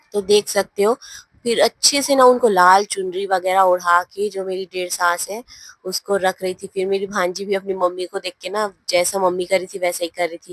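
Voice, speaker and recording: A woman with an unremarkable speaking voice talks at a moderate pace and medium pitch with fairly even intonation and big swings in loudness, the sound dry and close with no echo. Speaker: family vlogger. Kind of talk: vlog voiceover narration. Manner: casual, conversational.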